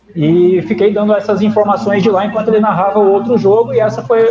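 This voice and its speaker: With noticeable background noise, a man talks at a fairly quick pace in a high voice. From southern Brazil (Paraná, Ponta Grossa). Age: 50s. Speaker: radio sports broadcaster and journalist. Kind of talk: interview. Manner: casual conversational.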